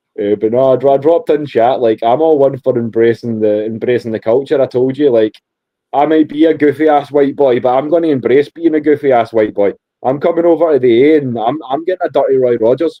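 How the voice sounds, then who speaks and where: This voice has a Scottish accent. The pace is very fast, with ordinary pitch variation. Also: man, medium pitch for a man, very even loudness. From Scotland. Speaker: podcast host. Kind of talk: casual chat.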